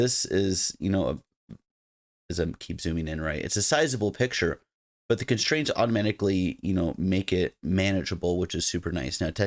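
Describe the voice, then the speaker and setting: The recording is very clean, with a silent background. A man speaks at a moderate pace with a very deep, low pitch. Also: lively intonation. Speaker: software engineer teaching web development. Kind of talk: coding tutorial. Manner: casual, conversational.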